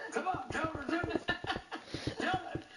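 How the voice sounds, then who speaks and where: A man's put-on character voice at an extremely high pitch, moderate in pace, over loud background noise. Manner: slurred, pushy.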